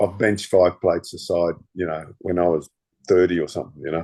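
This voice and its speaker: A man talks at a fairly quick pace with an Australian accent. His pitch is very deep and low. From Australia and Denmark/Netherlands. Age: 60s. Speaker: former stuntman and martial artist. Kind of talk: casual interview chat. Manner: halting with many repetitions.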